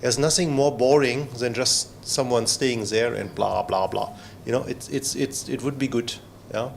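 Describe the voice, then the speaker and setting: Vocal fry from a man with a non-native accent at a moderate pace. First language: not English. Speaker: trainer and former researcher. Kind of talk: lecture. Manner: halting, many fillers.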